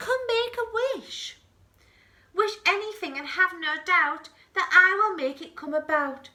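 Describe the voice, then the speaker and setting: A woman uses a put-on character voice at an extremely high pitch. She talks at a fairly slow pace. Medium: read story.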